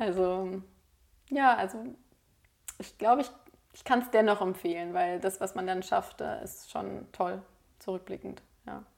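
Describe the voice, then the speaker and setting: With long, frequent pauses and big swings in loudness, a woman talks at a fairly slow pace and medium pitch with ordinary pitch variation. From Berlin, Germany. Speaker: lawyer and mediator. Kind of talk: casual interview chat.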